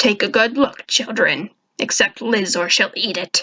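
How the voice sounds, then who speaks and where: In a growling put-on character voice, a woman speaks at a moderate pace, fairly high in pitch with ordinary pitch variation, the sound dry and close with no echo. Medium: read story. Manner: cold, gloomy.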